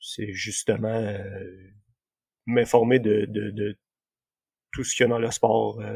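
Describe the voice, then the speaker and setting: Vocal fry runs through this very slow delivery, which has monotone, flat intonation and long, frequent pauses. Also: man, fairly low pitch for a man. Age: 30s. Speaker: amateur runner. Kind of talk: casual interview. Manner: halting.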